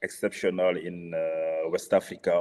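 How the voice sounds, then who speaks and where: The voice belongs to a man with a French accent. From Senegal. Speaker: venture capital investor. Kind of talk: panel discussion. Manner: halting, many fillers.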